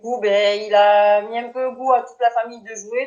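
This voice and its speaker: A woman talks with a plain, everyday voice. Her pitch sits fairly high, and her intonation stays fairly even. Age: 30s. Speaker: petanque player. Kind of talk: interview.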